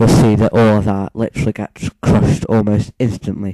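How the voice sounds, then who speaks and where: With a British accent, a man speaks in a fairly low pitch and a dark, mellow tone, the sound dry and close with no echo. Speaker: gaming YouTuber. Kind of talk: gameplay commentary. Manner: volume goes loud and quiet; talking louder than last time. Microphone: moves close to and away from mic.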